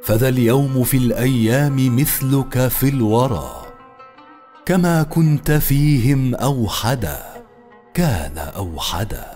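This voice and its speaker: Faint music plays behind a man who talks at a very slow pace, with ordinary pitch variation and very even loudness. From Egypt. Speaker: voice actor. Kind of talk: poetry reading. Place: studio. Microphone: studio mic.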